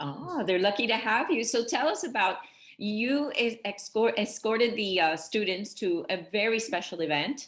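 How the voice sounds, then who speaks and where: In a Miami accent, a woman speaks with a fairly high pitch and lively intonation. Her loudness is very even and her pace moderate. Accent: Hialeah Miami. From Miami, Hialeah. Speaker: interviewer. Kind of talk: interview.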